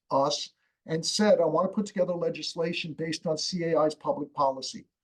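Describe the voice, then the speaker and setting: The voice belongs to a man and sits high. It rises and falls normally in pitch. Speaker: community association reserve and structural integrity expert. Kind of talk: expert interview on a live webinar. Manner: fast.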